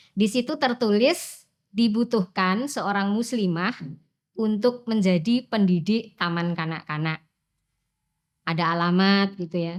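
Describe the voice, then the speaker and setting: A woman speaks at a fairly slow pace with a Javanese accent, her pitch medium and its variation ordinary. The recording is very clean, with a silent background. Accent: Javanese-accented Indonesian. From Central Java, Wonogiri. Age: 50s. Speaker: teacher. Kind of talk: personal interview storytelling. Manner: casual, with fillers.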